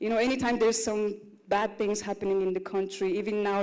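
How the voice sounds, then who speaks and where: Fairly high in pitch, this woman's voice has a dark, mellow tone. Her intonation stays fairly even. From Russia. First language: Russian. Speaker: content creator and actress. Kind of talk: panel talk at live conference.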